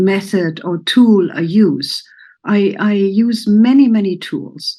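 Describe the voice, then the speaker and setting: Against a quiet background, a woman with a German accent talks in a fairly high, somewhat breathy voice, dark and mellow in tone, with lively intonation. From Germany. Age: 70s. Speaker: therapist. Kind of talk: personal introduction talk. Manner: halting.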